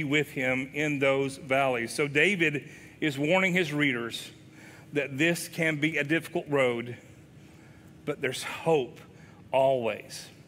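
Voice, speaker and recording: An Appalachian accent with a bright, sharp tone, fairly even intonation and a fairly slow pace. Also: man. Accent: Appalachian Southern US. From US South, southwest Virginia (Wise County); Virginia. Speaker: pastor; guest preacher. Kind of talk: sermon. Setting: church. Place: church.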